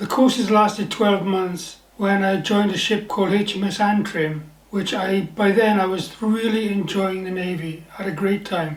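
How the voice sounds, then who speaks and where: A man with a Welsh accent talks at a moderate pace in a high voice, with fairly even intonation and hardly any pauses. Audible room echo and noticeable background noise surround him. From Wales, the Valleys near Pontypridd. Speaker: novelist, former naval officer. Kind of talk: personal storytelling monologue.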